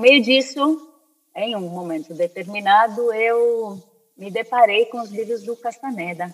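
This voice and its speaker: A woman's fairly high voice, an unremarkable speaking voice with ordinary pitch variation. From Spain (born in Brazil). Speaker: anthropologist and spiritualist. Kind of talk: interview conversation.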